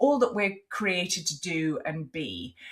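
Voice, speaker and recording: In an English accent, a woman speaks fairly slowly with a fairly low pitch. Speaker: podcast host. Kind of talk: interview.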